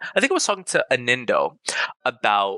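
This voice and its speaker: A man talks fairly quickly in an animated tone, the sound dry and close with no echo. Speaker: teacher and robotics club podcast host. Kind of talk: casual chat. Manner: loud.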